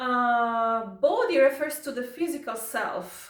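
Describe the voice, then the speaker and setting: A high-pitched woman speaks very slowly in an Italian accent. Her pitch swings very widely, and audible room echo surrounds her. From Italy. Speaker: YouTuber commenting on viral news. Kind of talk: casual commentary reading from notes. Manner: halting, with fillers.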